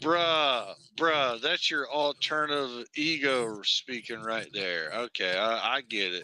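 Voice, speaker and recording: Recorded very cleanly against total silence, with a dry, close sound and no echo, a man at medium pitch talks very slowly with hardly any pauses, using a bright, sharp tone and lively intonation. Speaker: armwrestler livestream host. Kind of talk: casual chat. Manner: animated.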